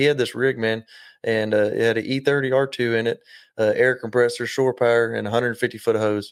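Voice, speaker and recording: A man with an Oklahoma accent at a fairly quick pace, in monotone, flat intonation. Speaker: spray foam business owner. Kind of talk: casual chat. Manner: halting, many fillers.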